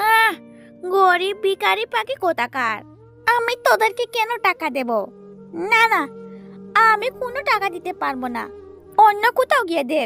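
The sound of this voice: A woman does a cartoonish character voice at an extremely high pitch, bright and sharp with vocal fry and big pitch swings, while faint music plays in the background. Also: moderate pace.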